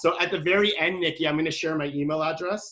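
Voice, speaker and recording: With a Canadian accent, a man talks at a very fast pace in a bright, sharp tone and fairly even intonation. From Canada. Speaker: marketing specialist. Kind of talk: webinar presentation. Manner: casual, chatty.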